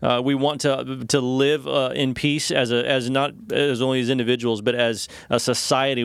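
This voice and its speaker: With a normal speaking voice, a man talks at a medium pitch and with fairly even intonation. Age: 40s. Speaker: pastor. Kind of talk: devotional discussion.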